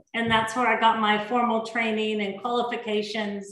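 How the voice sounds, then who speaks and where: Speaking at a moderate pace with an American accent, a woman uses a fairly high pitch and monotone, flat intonation, with audible room echo around her. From Oregon, US West Coast. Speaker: chef. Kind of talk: cooking demonstration. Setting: video call from home. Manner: hesitant, many fillers.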